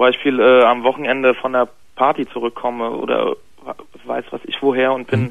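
A man talks at a middling speed in a flat monotone over a quiet background. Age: 20s. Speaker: caller, bicycle courier. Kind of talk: confessional story by phone. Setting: phone call. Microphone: phone line.

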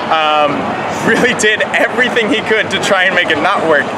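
A man talks fairly quickly with ordinary pitch variation, and loud background noise is present. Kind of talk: interview answer. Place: street. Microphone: lapel.

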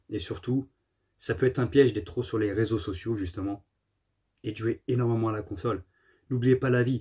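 Somewhat breathy and dark, mellow in tone, a man's voice comes through over a quiet background. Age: 40s. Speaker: gaming YouTuber. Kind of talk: casual monologue to camera. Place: home room. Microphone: phone near.

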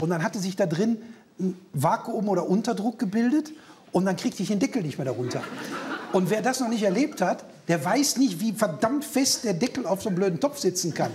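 With light background noise, a man talks at a fairly quick pace in a high pitch, using lively intonation. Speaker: comedian; talk show guest. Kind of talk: casual talk show chat. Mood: humorous, anecdotal. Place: studio. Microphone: lapel.

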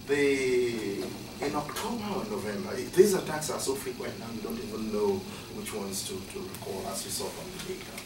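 Over noticeable background noise, a man speaks at a fairly high pitch with very wide pitch swings. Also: moderate pace. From Nigeria. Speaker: professor. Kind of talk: academic talk. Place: classroom. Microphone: camera far.

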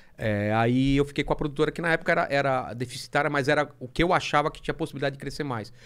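A man speaks at a very fast pace with hardly any pauses. The background is quiet. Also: ordinary pitch variation. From Brazil. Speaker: comic artist. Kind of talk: casual chat. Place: studio. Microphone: studio mic.

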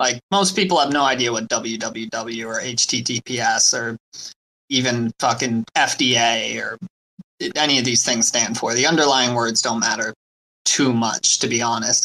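A man with an unremarkable speaking voice talks fairly slowly at a medium pitch, with ordinary pitch variation. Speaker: crypto community member. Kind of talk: casual chat. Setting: online audio room.

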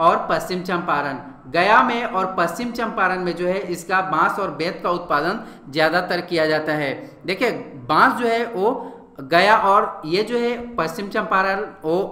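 A man's raised, projected voice, high in pitch, at a fairly slow pace with ordinary pitch variation, amid noticeable background noise and audible room echo. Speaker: online exam-prep teacher. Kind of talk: lecture. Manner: halting.

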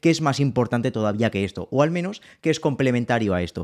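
Over a quiet background, a man talks very fast at a medium pitch with ordinary pitch variation. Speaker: financial analyst and educator; financial analyst, educator. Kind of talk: tutorial.

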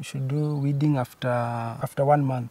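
A somewhat breathy man's voice, dark and mellow, at a moderate pace with fairly even intonation and a dry sound with no echo. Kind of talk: interview answer. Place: farm machine.

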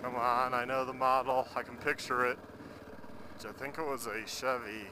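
Noticeable background noise accompanies a man speaking at a moderate pace, with a dry sound and no echo. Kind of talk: casual vlog chat. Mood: relaxed, amused. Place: motorbike. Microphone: helmet.

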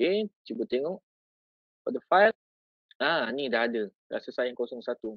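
Long, frequent pauses break up a fairly slow delivery in a Malaysian accent. The sound is dry with no echo, over a quiet background. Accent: Malaysian Malay. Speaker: teacher and education officer; teacher or trainer. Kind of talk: tutorial. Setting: video call. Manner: casual, code-switching. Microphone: video call.

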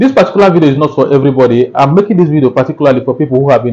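This man has a dark, mellow tone at medium pitch, with ordinary pitch variation. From Nigeria. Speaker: YouTube tutorial creator. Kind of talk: tutorial. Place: home room. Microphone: lapel.

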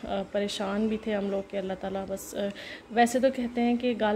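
A woman talks at a fairly slow pace. Light background noise can be heard. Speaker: home vlogger. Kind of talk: casual vlog chat. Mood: worried, somber. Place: home room.

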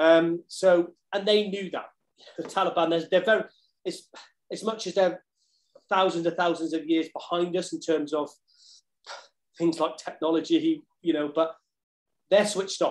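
A man's high-pitched voice with a southern English accent, fairly even in intonation, at a moderate pace with long, frequent pauses. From England, Cheltenham; England. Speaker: ex-marine, fitness equipment business owner; podcast guest. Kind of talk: casual interview. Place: home room. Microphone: video call.

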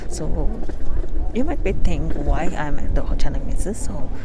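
Loud background noise fills a dry sound with no echo. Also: woman. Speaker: travel vlogger. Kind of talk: casual vlog chat. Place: street. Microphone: lapel.

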